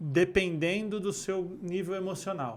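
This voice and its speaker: A man speaks in a Rio de Janeiro accent with a high pitch. His pace is fairly slow. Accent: fluminense Brazilian Portuguese. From Rio de Janeiro state, Brazil. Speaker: neurocommunication instructor and speaker. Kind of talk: podcast interview, casual chat.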